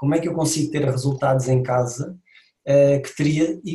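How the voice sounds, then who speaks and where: A man with a European Portuguese accent speaks at a moderate pace in a fairly high, somewhat breathy voice with a dark, mellow tone and monotone, flat intonation. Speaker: podcast host, fitness trainer. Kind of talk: casual podcast interview.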